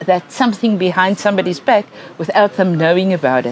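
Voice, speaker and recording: A woman's medium-pitched voice in a South African accent, with ordinary pitch variation and noticeable background noise. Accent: Afrikaans South African English. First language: Afrikaans. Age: old. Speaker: educational psychologist. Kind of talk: lecture.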